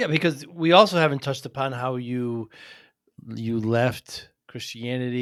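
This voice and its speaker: This is a man with a normal speaking voice, medium pitch and an American accent, using ordinary pitch variation at a moderate pace. The recording is very clean, with a silent background. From US Northeast. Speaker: podcast host. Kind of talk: interview.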